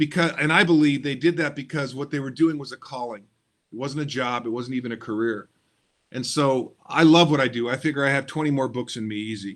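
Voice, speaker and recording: A man's unremarkable speaking voice, medium in pitch, at a fairly quick pace with ordinary pitch variation. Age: 60s. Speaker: motivational speaker and author. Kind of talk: podcast interview.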